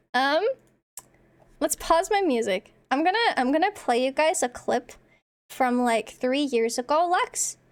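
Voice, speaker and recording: A woman's high voice at a fairly slow pace, with long, frequent pauses, very even loudness and very wide pitch swings. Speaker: streamer. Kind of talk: casual live stream chat. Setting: live stream. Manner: projects voice loudly.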